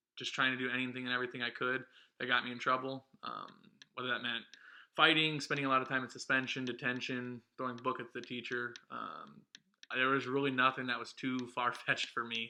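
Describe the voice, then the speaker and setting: Over a quiet background, a man with a Midwestern American accent talks at a fairly quick pace, his medium-pitched voice bright and sharp in tone yet flat and monotone in intonation. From Ohio, US Midwest. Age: 20s. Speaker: vlog co-host. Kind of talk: casual chat. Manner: hesitant, many ums.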